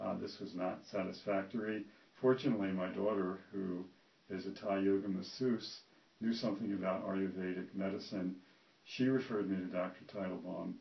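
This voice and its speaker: Fairly even intonation accompanies a moderate speaking pace. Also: man, fairly low pitch for a man. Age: 60s. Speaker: retired physician giving a patient testimonial. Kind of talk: testimony. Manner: halting, many fillers.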